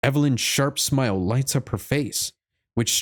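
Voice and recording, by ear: In a natural voice, someone reads aloud with quiet surroundings.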